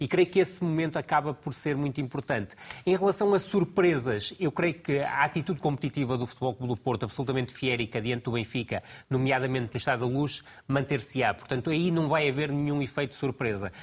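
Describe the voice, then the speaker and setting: A man speaks with a fairly high, somewhat breathy voice. His pace is fairly quick, with ordinary pitch variation. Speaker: football tactical analyst. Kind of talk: TV football analysis panel.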